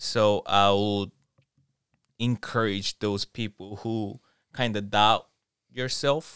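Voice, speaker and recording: A man with a Korean accent speaks at a very slow pace, in a fairly low pitch with fairly even intonation and long, frequent pauses. The sound is dry and close with no echo, on a very clean recording with a silent background. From South Korea, Seoul. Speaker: professional dancer. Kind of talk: casual chat. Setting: attic, no studio.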